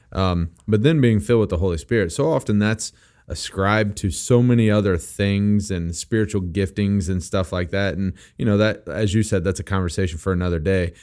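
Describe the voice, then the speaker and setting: A man with an American accent has a normal speaking voice, fairly low in pitch, with ordinary pitch variation at a fairly quick pace in a very clean recording with a silent background. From Missouri. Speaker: young adults pastor, podcast host. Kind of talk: casual chat about faith.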